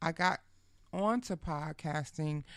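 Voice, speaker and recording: A woman with a New York accent and a very deep, low pitch speaks in an animated tone on a very clean recording with a silent background. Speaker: podcast host. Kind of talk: casual interview. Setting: studio.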